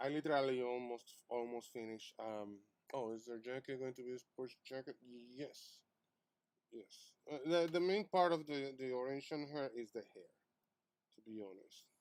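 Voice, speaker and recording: A man's medium-pitched voice at a moderate pace, with ordinary pitch variation and big swings in loudness. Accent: non-native. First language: not English. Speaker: artist streamer. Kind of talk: live stream chat while drawing. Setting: live stream. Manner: halting, many fillers.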